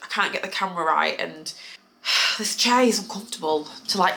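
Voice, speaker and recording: Lively intonation carries this woman's British accent at a fairly quick pace. Noticeable background noise is present. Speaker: lifestyle vlogger. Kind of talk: casual Q&A vlog.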